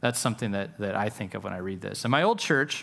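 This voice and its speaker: A man with a plain, everyday voice, a fairly low pitch and lively intonation. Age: 40s. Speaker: pastor. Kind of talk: sermon.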